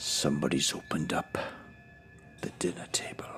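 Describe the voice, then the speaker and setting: In a put-on character voice, a man whispers in a guttural way at a moderate pace. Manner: menacing.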